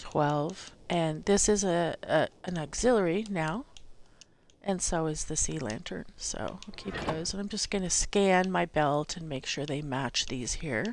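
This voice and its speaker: Here is a woman with an ordinary speaking voice, pitched fairly low. Her intonation is lively and her pace fairly slow. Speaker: gaming tutorial streamer. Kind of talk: tutorial.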